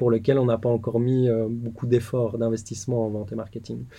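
A man speaks at medium pitch and a moderate pace. His delivery is monotone and flat, with a dark, mellow tone. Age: 30s. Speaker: tech startup founder. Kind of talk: interview. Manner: halting, frequent repetitions.

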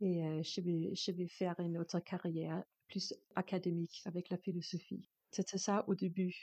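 In a dry, close recording with no echo and a quiet background, a woman speaks at a moderate pace with a fairly low pitch, a dark, mellow tone and very even loudness. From Denmark. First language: Danish (speaking French). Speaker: composer and performer. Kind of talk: interview. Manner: halting, non-native French.

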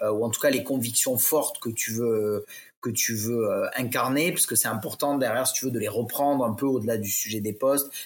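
The speaker is a man. He talks at a moderate pace. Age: 30s. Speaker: LinkedIn ghostwriter. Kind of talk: casual interview chat. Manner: hesitant, many fillers.

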